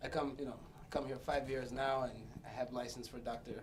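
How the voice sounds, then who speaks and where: In a room with audible echo, a man with a fairly high pitch speaks at a moderate pace. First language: Portuguese. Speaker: comedy show guest. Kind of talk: comedic interview.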